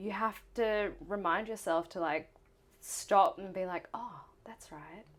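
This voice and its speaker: A woman speaks at a very slow pace with a medium pitch. Her loudness swings widely. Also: ordinary pitch variation. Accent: Australian. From Queensland, Australia (Gold Coast). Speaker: musical theatre performer. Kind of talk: casual interview. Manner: animated.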